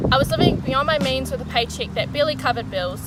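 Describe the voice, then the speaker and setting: Over music in the background, a woman with a New Zealand accent talks at a very fast pace. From New Zealand, Wellington. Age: 20s. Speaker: vlogger. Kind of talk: personal vlog monologue.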